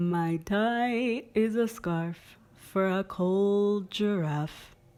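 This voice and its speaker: A woman's put-on character voice, sing-song and cheerful in tone, at medium pitch and a very slow pace. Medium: read story. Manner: cheerful, sing-song.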